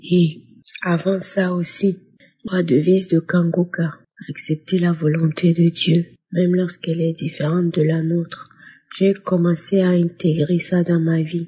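Somewhat breathy and fairly slow, a woman speaks in a monotone, flat manner with very even loudness. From Burkina Faso. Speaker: testimony giver. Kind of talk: testimony.

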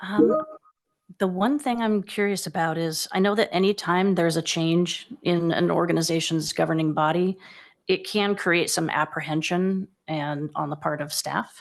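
With a normal speaking voice, a woman talks at a moderate pace and a fairly low pitch, using ordinary pitch variation over a quiet background. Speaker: council seat applicant. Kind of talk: interview.

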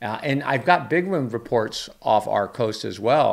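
A man's voice with vocal fry at a fairly slow pace. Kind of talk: commentary. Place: office. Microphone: studio mic.

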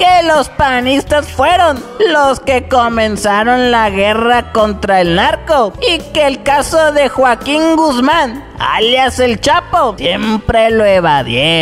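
A cartoonish character voice with a fairly high pitch speaks at a very slow pace. Clear music plays in the background. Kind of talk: satirical political news commentary. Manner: mocking, gossipy.

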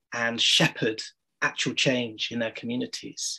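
The background behind this man is quiet. He talks at a moderate pace. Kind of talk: workshop introduction talk. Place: home room. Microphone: video call.

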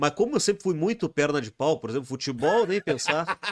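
At a moderate pace, a man speaks at a fairly high pitch against a quiet background. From Rio Grande do Sul, Brazil. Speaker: musician; podcast guest. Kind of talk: casual chat. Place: studio. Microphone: studio mic.

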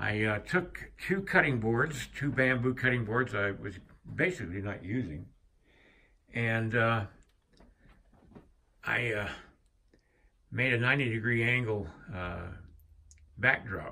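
A man with a bright, sharp tone talks at a very slow pace, leaving long, frequent pauses. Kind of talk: casual vlog chat. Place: workshop. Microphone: phone near.

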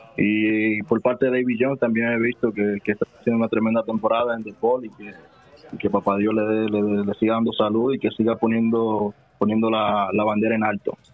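A man talks fairly quickly at medium pitch in a monotone, flat intonation. Music is in the background. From Dominican Republic, Santo Domingo. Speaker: professional basketball player. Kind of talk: interview. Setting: phone call.

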